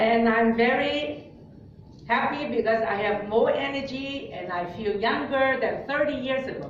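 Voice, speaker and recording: Delivered at a moderate pace with ordinary pitch variation, the speech carries audible room echo and noticeable background noise. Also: woman, high pitch for a woman. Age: 60s. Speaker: nutrition speaker. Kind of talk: seminar talk with interpreter. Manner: halting.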